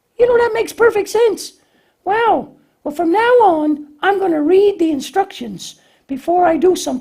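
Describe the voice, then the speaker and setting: A man does a put-on character voice. It sits extremely high for a man and moves at a moderate pace. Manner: bumbling, confused.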